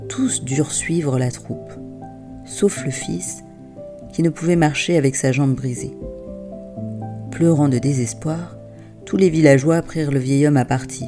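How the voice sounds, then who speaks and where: A woman speaks at a fairly slow pace in a calm, gentle tone, leaving long, frequent pauses. Music plays in the background. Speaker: wisdom tale narrator and parenting coach. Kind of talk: soothing wisdom tale for children, bedtime-story style. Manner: calm, gentle, soft-spoken.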